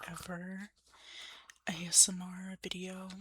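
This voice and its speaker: Against noticeable background noise, a soft-spoken woman talks at a medium pitch. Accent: American. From Ohio, United States. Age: young. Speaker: college student, ASMR creator. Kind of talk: ASMR, casual talk to camera.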